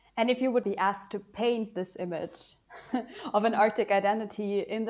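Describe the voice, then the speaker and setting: The clip is very clean, its background silent. In it, an ordinary speaking voice keeps a moderate pace. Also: woman. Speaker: podcast co-host. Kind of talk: interview.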